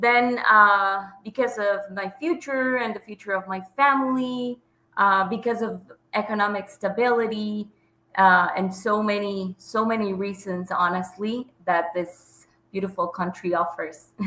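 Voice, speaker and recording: A woman talks with a Spanish accent in a bright, sharp tone. Her pace is fairly slow and her pitch variation ordinary. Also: medium pitch for a woman. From Bolivia, Santa Cruz. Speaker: health coach. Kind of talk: interview. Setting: video call. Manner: hesitant.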